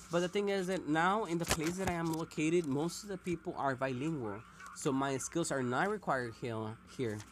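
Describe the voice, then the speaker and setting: The words come at a fairly quick clip. A non-native accent colors the speech. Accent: non-native English (self-described). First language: Spanish. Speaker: mobile game streamer. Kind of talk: casual gameplay commentary. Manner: halting.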